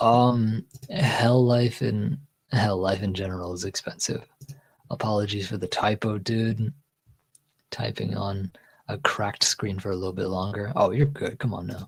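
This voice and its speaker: Somewhat breathy, a man with an American accent speaks at a moderate pace with a fairly low pitch and ordinary pitch variation. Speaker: streamer. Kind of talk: casual chat.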